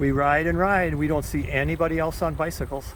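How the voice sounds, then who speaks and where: Amid noticeable background noise and audible room echo, a man talks at a moderate pace with a fairly high pitch and ordinary pitch variation. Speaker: recreational trike rider vlogger. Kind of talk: casual ride-along narration. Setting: outdoors, riding a recumbent trike on trails. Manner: talking kind of loud.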